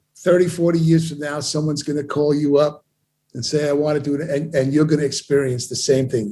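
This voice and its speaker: Somewhat breathy and dark, mellow in tone, a man with an American accent talks at a fairly quick pace in a fairly high pitch. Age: 70s. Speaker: audio equipment company owner. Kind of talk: interview. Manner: animated.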